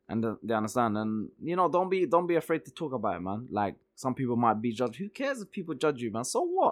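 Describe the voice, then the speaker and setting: Talking at a very fast pace in a London accent, a man uses a medium pitch with very wide pitch swings. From Egypt, then South London (Peckham) from 1997. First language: Arabic/Swedish. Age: 30s. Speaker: entrepreneur. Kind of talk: casual interview chat.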